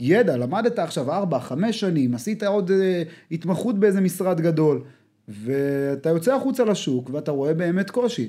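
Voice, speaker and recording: A man's high-pitched voice in a dark, mellow tone, with very wide pitch swings at a moderate pace. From Israel, Rishon LeZion. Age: 20s. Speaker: business development executive, former counter-terror soldier. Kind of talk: casual interview chat. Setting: studio.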